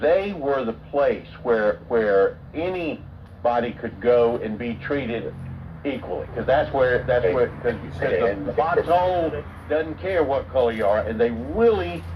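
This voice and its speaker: A man at a medium pitch with very wide pitch swings and a fairly slow pace, amid noticeable background noise. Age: 70s. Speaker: channel host. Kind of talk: casual chat.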